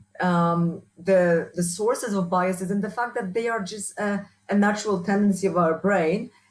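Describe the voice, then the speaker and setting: A woman with a strong Polish accent talks at a moderate pace with hardly any pauses. Her medium pitch carries fairly even intonation. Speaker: university researcher and trainer. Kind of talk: interview.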